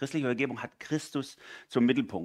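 With an ordinary speaking voice and medium pitch, a man speaks at a fairly quick pace in a very clean recording with a silent background. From Swabia, southwest Germany. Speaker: guest preacher. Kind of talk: sermon.

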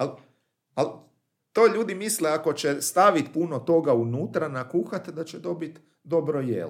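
A man with a fairly high pitch speaks at a moderate pace with lively intonation. His loudness swings widely. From Croatia, Daruvar. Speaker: poet. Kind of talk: interview. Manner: halting.

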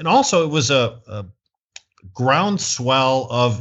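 A man speaks with a Michigan accent at medium pitch. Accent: US Midwest (Michigan). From Michigan, Flint. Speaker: cannabis activist and entrepreneur. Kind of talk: interview. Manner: hesitant fillers (uh).

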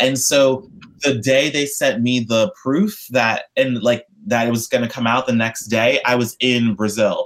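Here a man speaks at a medium pitch and a fairly slow pace, with ordinary pitch variation. His loudness stays very even. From New York. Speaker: study abroad alum. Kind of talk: casual interview.

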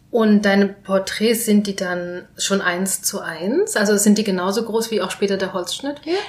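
At a moderate pace with hardly any pauses, a woman speaks at medium pitch with fairly even intonation. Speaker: podcast host. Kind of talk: casual interview. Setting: on location in Neukölln.

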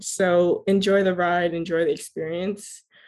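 A woman with an American accent speaks at a fairly low pitch in a monotone, flat intonation. The recording is very clean, with a silent background. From South Florida. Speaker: youth community organizer. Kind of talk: interview.

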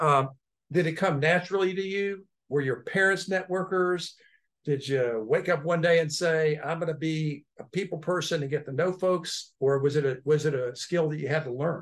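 With an ordinary speaking voice, a man of fairly high pitch speaks at a moderate pace with ordinary pitch variation. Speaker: podcast host and technology lawyer. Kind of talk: casual interview chat.

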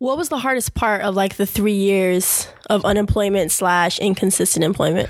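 A woman with a plain, everyday voice, medium pitch, ordinary pitch variation, very even loudness and a moderate pace. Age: 20s. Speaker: podcast host. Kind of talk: interview; scripted narration.

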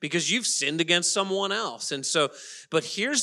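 The voice is loud and animated, with a bright, sharp tone. The recording is very clean, with a silent background. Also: man. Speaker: pastor. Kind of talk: sermon. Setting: church.

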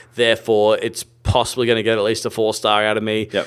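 An Australian accent colors this man's fairly low voice as he talks at a fairly quick pace. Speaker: film podcast host. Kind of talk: casual chat.

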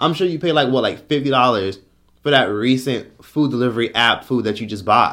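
With a bright, sharp tone, the man speaks at a fairly quick pace. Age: 20s. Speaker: YouTuber and podcaster. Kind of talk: casual monologue on personal finance. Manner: animated.

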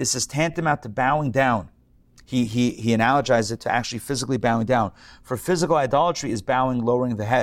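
At a very fast pace, a man talks with a medium pitch and ordinary pitch variation. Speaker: rabbi and class teacher. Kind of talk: lecture. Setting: live class with participants.

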